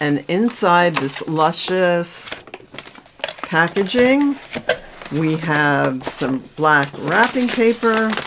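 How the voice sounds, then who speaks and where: Over noticeable background noise, a woman with a fairly low pitch talks at a very slow pace, her pitch swinging very widely. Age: 60s. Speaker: beauty vlogger. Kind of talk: unboxing video.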